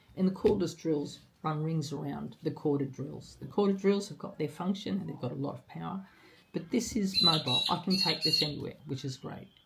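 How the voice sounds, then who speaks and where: A woman's very deep, low voice at a fairly quick pace, with ordinary pitch variation, big swings in loudness and noticeable background noise. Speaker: DIY instructor. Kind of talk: tutorial talk to camera.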